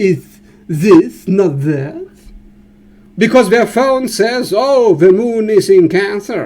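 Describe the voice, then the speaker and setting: A man with a German accent speaks very slowly in a high voice with very wide pitch swings. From Germany. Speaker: astrologer. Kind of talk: educational monologue. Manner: animated.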